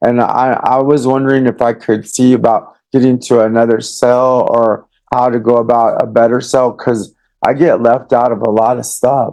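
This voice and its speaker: A man with an American accent speaks at a moderate pace and medium pitch, his intonation monotone and flat and his loudness very even. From Texas, Austin. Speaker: defendant in custody. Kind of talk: court hearing exchange. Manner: halting, repetitive.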